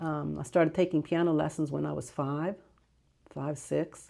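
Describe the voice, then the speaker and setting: Over a silent background in a very clean recording, a woman with a very deep, low pitch and vocal fry speaks at a moderate pace in a dark, mellow tone with fairly even intonation. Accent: American. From Clarksburg, West Virginia, Greek family. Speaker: community member recalling local history. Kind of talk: oral history interview. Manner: hesitant, with fillers.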